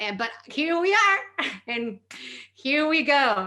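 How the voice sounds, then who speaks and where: A woman with a Spanish accent, at a very slow pace. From northern Mexico. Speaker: comedian and performer. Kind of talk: comedic storytelling presentation.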